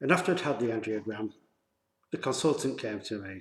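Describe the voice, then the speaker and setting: A man with a Yorkshire accent speaks in a fairly low pitch, his intonation lively. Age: 50s. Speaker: vlogger. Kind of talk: personal testimony vlog. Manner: halting, many fillers.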